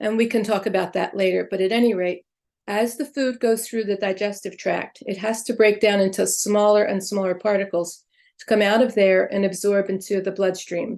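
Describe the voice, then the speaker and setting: A woman's medium-pitched, normal speaking voice at a moderate pace with fairly even intonation. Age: 60s. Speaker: Ayurvedic practitioner and chiropractor. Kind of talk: interview.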